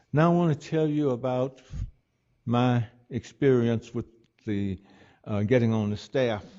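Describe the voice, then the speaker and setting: This man speaks at a moderate pace. His pitch sits in the medium range. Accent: Alabama. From US South. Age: 80s+. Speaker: retired doctor and civil rights pioneer. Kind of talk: public talk.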